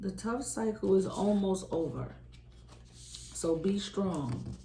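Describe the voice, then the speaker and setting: There is audible room echo as a woman talks at a very slow pace. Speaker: tarot reader. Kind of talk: tarot reading. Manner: casual, conversational; loud normally, quieter today.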